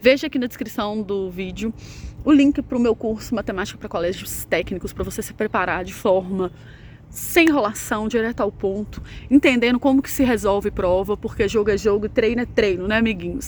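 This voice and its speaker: Her loudness swings widely as a woman speaks at a fairly high pitch and moderate pace, with ordinary pitch variation. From Brazil, Minas Gerais. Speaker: math teacher. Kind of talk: casual vlog; sales pitch. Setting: outdoors. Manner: soft-spoken.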